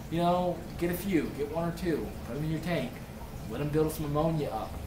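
A man speaks at a moderate pace with a high pitch. Noticeable background noise sits under his voice. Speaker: aquarium hobbyist YouTuber. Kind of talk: tutorial. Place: home room. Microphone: webcam.

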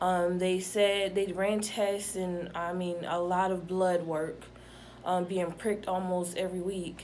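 A woman with an American accent speaks at a fairly slow pace and medium pitch over light background noise. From Atlanta, Georgia, US South; Georgia. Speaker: patient. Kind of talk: testimony. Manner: halting. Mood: calm, reflective. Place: home room. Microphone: phone near.

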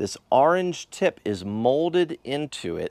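The recording of this man is dry with no echo, set against a quiet background. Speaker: hobby YouTuber. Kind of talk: casual vlog chat. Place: garage. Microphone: lapel.

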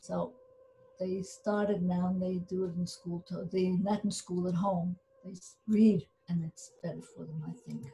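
This woman's dark, mellow tone is somewhat breathy, her intonation fairly even and her pace fairly slow. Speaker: Holocaust survivor. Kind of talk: casual chat. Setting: video call. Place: home room. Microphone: video call.

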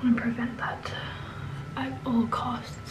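Noticeable background noise accompanies a woman as she talks. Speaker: lifestyle vlogger. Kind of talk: casual vlog chat.

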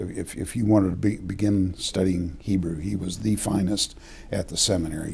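A man's very deep, low voice with an American accent and fairly even intonation, at a moderate pace over light background noise. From Oklahoma City. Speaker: retired seminary professor. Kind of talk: interview. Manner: halting. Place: office.

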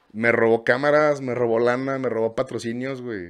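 A man with a Mexican accent at a fairly slow pace, ordinary pitch variation, and a quiet background. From Mexico. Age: 30s. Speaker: content creator and music video producer; content creator. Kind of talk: casual interview chat. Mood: casual, storytelling. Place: studio. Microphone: studio mic.

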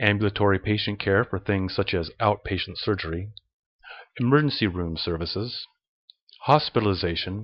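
A man's unremarkable speaking voice, fairly low in pitch, at a moderate pace. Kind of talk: educational slide narration. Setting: voiceover recording.

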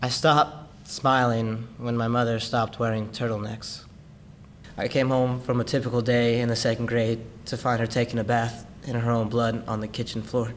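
Over light background noise, a man speaks at a moderate pace in a flat, monotone delivery. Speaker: actor performing monologue. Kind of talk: dramatic monologue. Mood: sorrowful, emotionally raw. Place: studio.

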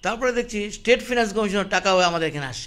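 This man's pitch swings very widely as he talks. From India, North Bengal (Siliguri); North Bengal. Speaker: politician, former mayor. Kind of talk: interview. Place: office. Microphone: handheld.

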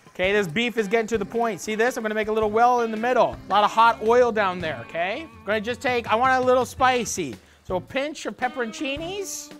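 Faint music plays in the background as a man speaks at a very fast pace. He hardly pauses, and his pitch varies in an ordinary way. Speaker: cooking show host. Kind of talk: cooking tutorial. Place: kitchen. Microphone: lapel.

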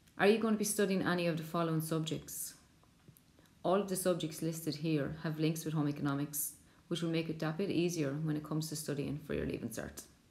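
A woman with an Irish accent speaks at a very fast pace with a very deep, low pitch. Her intonation is fairly even, and room echo is audible. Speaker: secondary school teacher. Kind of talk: school subject presentation.

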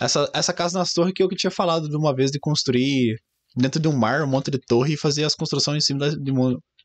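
Dry and close with no echo, a man with a fairly high pitch speaks at a very fast pace, with ordinary pitch variation. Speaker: streamer. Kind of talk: casual chat. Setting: live stream.

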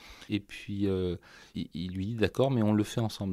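A man with a fairly low pitch and a dark, mellow tone is heard in a very clean recording with a silent background. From France, Loiret (Artenay). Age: 50s. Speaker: violin maker. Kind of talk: interview. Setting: workshop. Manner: halting.

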